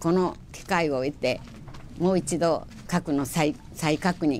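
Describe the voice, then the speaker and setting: In a Hiroshima accent, a woman talks with fairly even intonation against light background noise. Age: 80s+. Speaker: atomic bomb survivor. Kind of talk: interview answer. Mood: earnest, solemn appeal. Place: meeting room.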